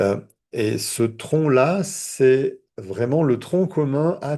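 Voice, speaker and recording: Over a quiet background, a man speaks at a very slow pace with a fairly high pitch and lively intonation. His tone is dark and mellow, and somewhat breathy. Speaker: therapist and trainer. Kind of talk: online training lecture. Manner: hesitant, repeats words.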